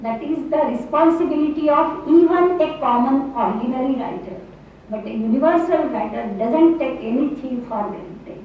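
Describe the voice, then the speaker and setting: Speaking at a fairly slow pace in a Marathi accent, the voice carries lively intonation over noticeable background noise and audible room echo. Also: woman. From Maharashtra, India. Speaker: English professor. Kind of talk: lecture. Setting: university hall with audience.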